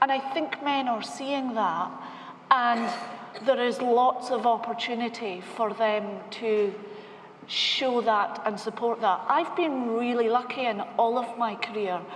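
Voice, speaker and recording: Amid noticeable background noise and audible room echo, a woman speaks in a fairly high pitch with a Scottish accent. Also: ordinary pitch variation, fairly slow pace. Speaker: bank technology executive. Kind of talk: panel discussion.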